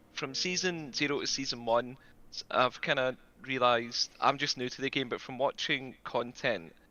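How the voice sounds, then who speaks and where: This man speaks with a Scottish accent. His pitch is fairly high and varies in an ordinary way. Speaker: community member asking questions. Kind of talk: Q&A question. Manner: fast.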